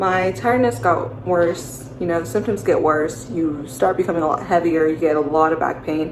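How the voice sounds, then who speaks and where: At a moderate pace with hardly any pauses, a woman speaks in a very deep, low pitch with lively intonation, amid noticeable background noise and audible room echo. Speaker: vlogger sharing pregnancy story. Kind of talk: personal testimony. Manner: casual, many fillers.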